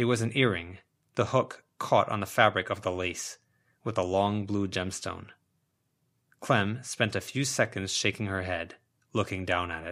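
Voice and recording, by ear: The speech moves at a fairly slow pace in a very clean recording with a silent background. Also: man, low pitch for a man, ordinary pitch variation, fairly bright tone.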